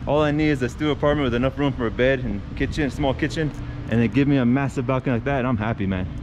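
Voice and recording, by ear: A man speaks at a very fast pace and a medium pitch, with ordinary pitch variation. Background noise is clearly audible.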